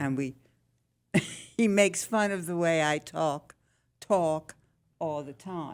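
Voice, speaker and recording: Speaking in a Philadelphia accent, a woman has a fairly low pitch with ordinary variation and big swings in loudness. Her pace is very slow, with long, frequent pauses. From Philadelphia, US. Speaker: senior living resident. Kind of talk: casual interview.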